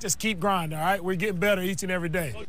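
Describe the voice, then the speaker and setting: A man speaks with fairly even intonation. Faint music plays in the background. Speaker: head coach. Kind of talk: coaching shouts and team address. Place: stadium. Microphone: lapel.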